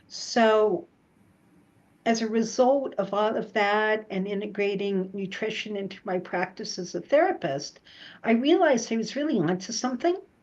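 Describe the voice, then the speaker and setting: A woman with a normal speaking voice talks at a moderate pace in a fairly high pitch. Her intonation is lively, and the background is quiet. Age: 60s. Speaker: psychotherapist. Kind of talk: interview.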